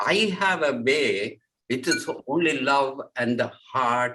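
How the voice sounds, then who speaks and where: A man at medium pitch speaks with ordinary pitch variation and a bright, sharp tone. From Sri Lanka. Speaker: spiritual speaker. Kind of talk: interview conversation. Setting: video call. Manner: halting.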